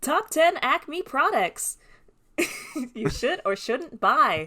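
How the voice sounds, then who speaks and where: A put-on, robotic character voice with high pitch moves at a very slow pace. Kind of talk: influencer video title.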